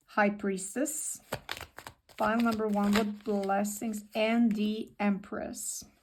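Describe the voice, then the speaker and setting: Her voice is fairly high and somewhat breathy. The woman speaks at a very slow pace. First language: not English. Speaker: tarot reader. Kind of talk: tarot reading. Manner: repetitive, hesitant.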